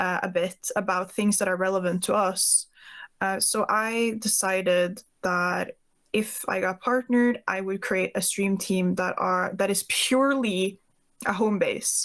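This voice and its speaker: In a Norwegian accent, the speech comes at a fairly slow pace with fairly even intonation and very even loudness, on a very clean recording with a silent background. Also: woman, medium pitch for a woman. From Norway. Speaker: Twitch streamer. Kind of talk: podcast interview.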